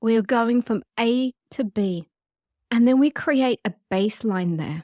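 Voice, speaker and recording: Heard in a dry, close sound with no echo, this is a normal speaking voice. It moves at a fairly slow pace with lively intonation. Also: woman, fairly high pitch for a woman. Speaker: sex hypnotherapist and podcast host. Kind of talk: guided meditation podcast talk. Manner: calm, soothing, gentle.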